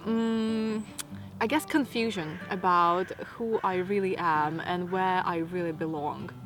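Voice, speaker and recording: A woman's medium-pitched voice with a Latvian accent, a fairly slow pace, ordinary pitch variation and music in the background. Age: 30s. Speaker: lifestyle vlogger. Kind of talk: casual Q&A monologue.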